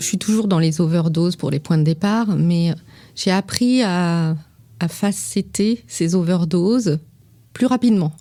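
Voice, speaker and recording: At a very slow pace, a woman speaks with a fairly low pitch, a dark, mellow tone, ordinary pitch variation and very even loudness. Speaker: perfumer. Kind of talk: interview answer. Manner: calm, composed.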